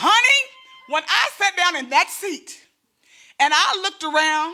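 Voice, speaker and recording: The voice is raised and projected, animated and bright with a sharp tone, and its intonation is lively. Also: woman. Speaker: comedian. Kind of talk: stand-up. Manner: fast.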